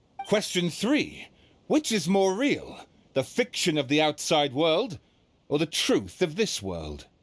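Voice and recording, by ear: A man puts on a character voice with a fairly high pitch. He speaks slowly, with very wide pitch swings.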